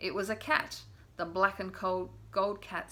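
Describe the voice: This clip is plain reading aloud.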